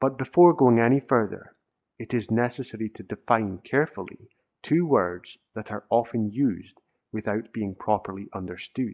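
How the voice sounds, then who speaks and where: A man at a medium pitch speaks at a moderate pace with ordinary pitch variation. It is a normal speaking voice. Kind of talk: audiobook reading of a self-help text.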